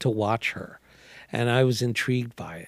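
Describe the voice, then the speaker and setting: A man with a New York accent. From New York City, Manhattan. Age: 60s. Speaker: artist. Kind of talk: casual chat. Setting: studio.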